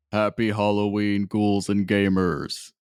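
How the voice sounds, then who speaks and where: Using a put-on character voice, a man speaks at a fairly low pitch with a playful tone, monotone, flat intonation and a fairly slow pace. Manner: spooky, playful, ghoulish.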